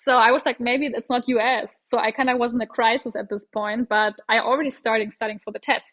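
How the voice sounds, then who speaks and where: A high-voiced woman with a German accent talks at a fairly quick pace with hardly any pauses. Her intonation is monotone and flat. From Germany. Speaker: doctor. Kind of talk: casual interview chat.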